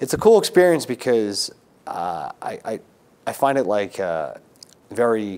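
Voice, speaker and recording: Loudness swings widely as a man speaks at a fairly slow pace. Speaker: podcast host, class teacher. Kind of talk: podcast conversation. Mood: warm, enthusiastic. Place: studio. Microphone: lapel.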